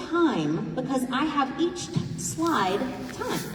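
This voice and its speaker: Loud and high-pitched, a woman speaks amid audible room echo and noticeable background noise. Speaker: forum facilitator. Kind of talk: public forum moderation.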